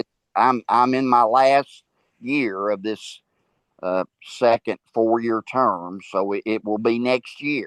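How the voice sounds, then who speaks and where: A Tennessee accent at a very slow pace, with fairly even intonation, a quiet background, and a dry, close sound with no echo. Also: man, medium pitch for a man. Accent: Southern US (Tennessee). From US South. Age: 70s. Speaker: school board member and minister. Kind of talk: interview. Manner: halting, many repetitions and fillers.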